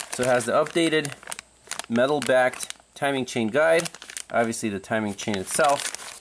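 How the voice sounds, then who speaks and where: Noticeable background noise is present. Through it, a man talks at a moderate pace. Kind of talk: tutorial. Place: garage. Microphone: phone near.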